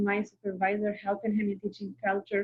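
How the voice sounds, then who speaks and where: This voice belongs to a woman. It carries a somewhat breathy quality. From Algeria. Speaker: Arabic teaching assistant. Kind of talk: interview.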